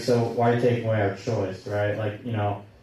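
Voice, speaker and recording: A man speaks with monotone, flat intonation. Noticeable background noise and audible room echo fill the recording. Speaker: public commenter. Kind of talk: public comment. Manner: halting.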